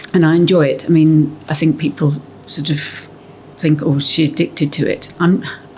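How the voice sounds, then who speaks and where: A woman speaks at a moderate pace with a very deep, low pitch and flat, monotone intonation. Noticeable background noise is present. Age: 60s. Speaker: gym member. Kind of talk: casual interview. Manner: halting.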